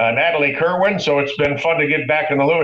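Amid noticeable background noise, a man with an American accent speaks at a very fast pace and a fairly high pitch. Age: 60s. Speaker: sports broadcaster. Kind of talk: casual chat.

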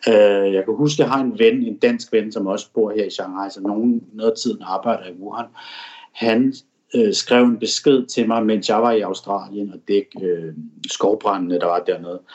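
This man has a plain, everyday voice, fairly low in pitch, with ordinary pitch variation at a moderate pace. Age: 40s. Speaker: foreign correspondent. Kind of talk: interview. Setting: at home in apartment.

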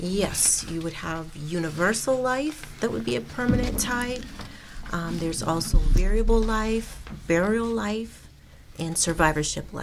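Over noticeable background noise, a woman with a fairly low pitch speaks at a fairly slow pace with very wide pitch swings. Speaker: financial services assistant. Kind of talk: radio interview. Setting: studio.

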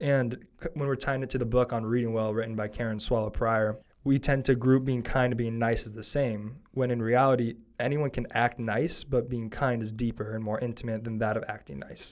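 A plain, everyday voice from a man at a medium pitch, fairly quick and with hardly any pauses, his intonation fairly even. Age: young. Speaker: student podcast host. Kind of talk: casual chat.

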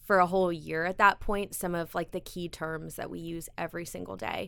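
A woman with an American accent speaks at a moderate pace in a normal speaking voice, her pitch fairly low and her intonation fairly even. The recording is very clean, with a silent background. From US South, South Carolina (Greenville). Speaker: TV lifestyle show host and producer. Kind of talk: interview.

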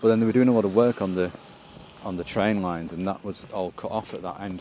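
Noticeable background noise surrounds a man with a very deep, low pitch. He talks at a very fast pace with fairly even intonation. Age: 50s. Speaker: comedian. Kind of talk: casual chat.

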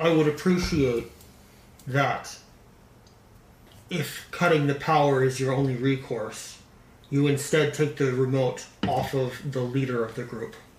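A man puts on a robotic character voice at medium pitch and moderate pace. Long pauses come frequently.

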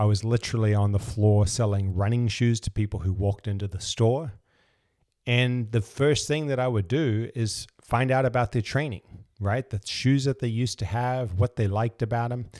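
Here a man talks at a moderate pace with medium pitch and a dark, mellow tone. The sound is dry and close, without echo. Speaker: business coach podcast host. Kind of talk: solo podcast monologue. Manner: monotone.

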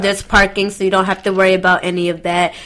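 Noticeable background noise sits behind a woman talking at a very fast pace. She speaks in an American accent. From US South (Atlanta). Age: 20s. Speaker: DJ and radio host. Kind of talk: casual chat.

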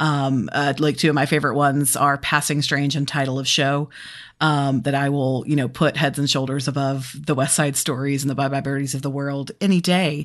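The woman's voice is very deep and low. Her delivery is monotone, with flat intonation. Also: fairly quick pace. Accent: American. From US South, Birmingham, Alabama. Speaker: podcast host. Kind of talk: casual chat.

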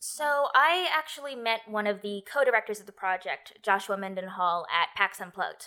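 With an American accent, a woman speaks at a moderate pace and medium pitch, using lively intonation and hardly any pauses. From United States. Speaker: tabletop game writer and designer. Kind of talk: interview. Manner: halting.

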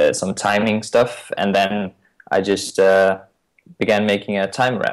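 Speaking at a moderate pace, a man talks with a Danish accent. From Denmark. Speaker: iOS consultant. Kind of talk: interview. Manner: halting.

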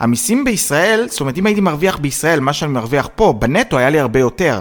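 On a very clean recording with a silent background, a man speaks at a fairly high pitch that swings very widely. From Israel. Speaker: podcast co-host. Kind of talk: casual chat. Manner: animated.

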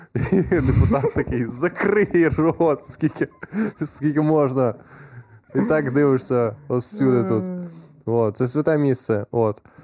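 Speaking at a very slow pace with long, frequent pauses, a man has a medium pitch and lively intonation. His loudness stays very even against noticeable background noise. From Ukraine, Khmelnytskyi region. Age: 20s. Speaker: stand-up comedian. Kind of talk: casual chat.

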